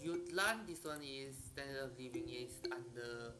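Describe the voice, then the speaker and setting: The voice proceeds fairly slowly with music in the background. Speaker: video game streamer. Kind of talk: gameplay commentary. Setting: live stream. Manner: soft-spoken. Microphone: voice too quiet relative to music.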